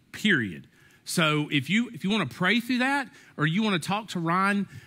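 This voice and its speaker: A man's bright, sharp tone against a quiet background. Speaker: pastor. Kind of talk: sermon. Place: church.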